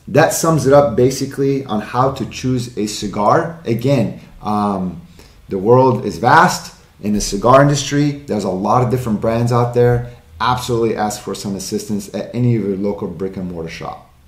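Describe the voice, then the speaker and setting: With audible room echo, a man talks at a moderate pace. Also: ordinary pitch variation. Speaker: cigar channel host. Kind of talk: tutorial. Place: studio.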